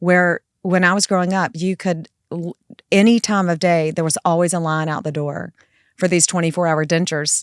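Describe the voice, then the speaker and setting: A woman with a Southern US accent talks at a moderate pace in a fairly low voice, her intonation fairly even. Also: dry, close sound with no echo, very clean recording, silent background. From South Carolina (Florence). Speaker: family law attorney and firm founder. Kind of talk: casual podcast interview.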